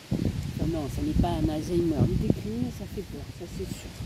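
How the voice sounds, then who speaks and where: A woman with a Provençal accent is heard over noticeable background noise. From Spain. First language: Spanish (speaking French). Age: old. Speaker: vlogger. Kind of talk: casual vlog monologue. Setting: outdoors. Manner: hesitant, many fillers.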